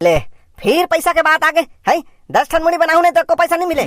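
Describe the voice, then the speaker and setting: An extremely high-pitched, cartoonish character voice rattles along at a very fast pace. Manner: grumbling, sarcastic.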